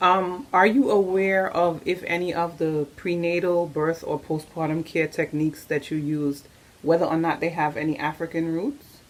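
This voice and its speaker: At a moderate pace with hardly any pauses, a woman uses a normal speaking voice, fairly low in pitch, with ordinary pitch variation. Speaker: doula, interviewer. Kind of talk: interview questions.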